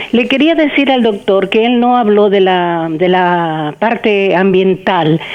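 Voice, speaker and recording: A woman's medium-pitched voice at a very slow pace, with lively intonation, very even loudness and hardly any pauses. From Argentina, Buenos Aires. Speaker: caller. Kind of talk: testimony.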